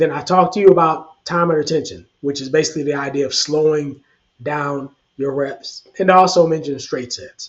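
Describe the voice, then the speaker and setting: A man speaks at a moderate pace with a fairly high pitch, a somewhat breathy quality, and ordinary pitch variation. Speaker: fitness coach. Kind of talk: tutorial. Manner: casual, conversational.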